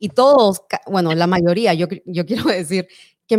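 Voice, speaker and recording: In a very clean recording with a silent background, a woman talks at a moderate pace and medium pitch, her intonation lively and her tone animated. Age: 40s. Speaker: podcast host. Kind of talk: live-streamed interview.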